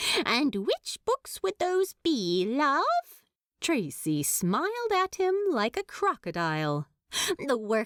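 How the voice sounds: Quiet surroundings behind a natural reading voice.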